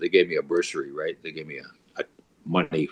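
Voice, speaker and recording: Someone with a western Canadian accent talks at a fairly quick pace. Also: man. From Canada, Alberta. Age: 70s. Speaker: blues musician and painter. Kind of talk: casual chat. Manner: halting.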